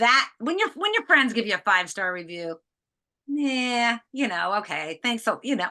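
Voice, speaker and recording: A woman with an American accent speaks at a moderate pace in a high voice with a bright, sharp tone and very wide pitch swings against a quiet background. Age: 60s. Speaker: author and inventor. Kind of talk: podcast interview. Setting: video call.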